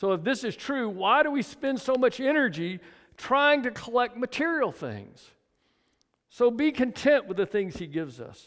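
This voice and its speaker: A man's extremely high-pitched voice, lively in intonation and moderate in pace, on a very clean recording with a silent background. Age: 70s. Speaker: pastor. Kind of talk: sermon. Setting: church. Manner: casual.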